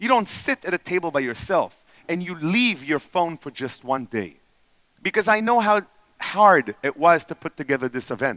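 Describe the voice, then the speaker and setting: A man with an Israeli accent speaks at a moderate pace, his high pitch making very wide swings. His tone is bright and sharp, and the sound is dry and close with no echo. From Israel, then Canada from age ten. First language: Hebrew. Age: 40s. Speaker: entrepreneur and speaker. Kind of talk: conference talk.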